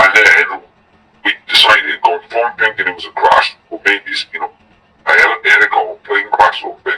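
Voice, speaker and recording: With music in the background, a man speaks in a raised, projected voice at an extremely high pitch. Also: fairly even intonation, moderate pace. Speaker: anonymous eyewitness. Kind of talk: interview answer, recounting events.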